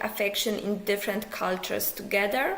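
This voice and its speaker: Amid noticeable background noise and audible room echo, a woman speaks with a Polish accent. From Poland. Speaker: psychology professor. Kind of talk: pre-recorded conference lecture. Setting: pre-recorded video.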